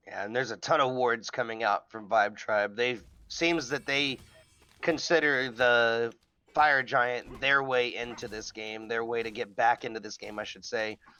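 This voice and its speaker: Moderate pace from a man at medium pitch, with fairly even intonation, big swings in loudness, and music in the background. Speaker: esports caster. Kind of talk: live commentary.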